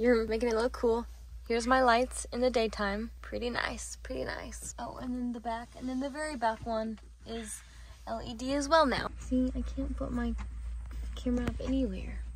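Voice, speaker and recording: A woman at a moderate pace, with audible room echo. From Indiana. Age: 20s. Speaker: lifestyle vlogger. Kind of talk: casual vlog chat. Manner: whispering quietly.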